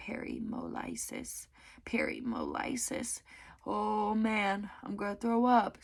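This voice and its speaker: A woman's raspy, put-on character voice at a fairly slow pace. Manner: groaning.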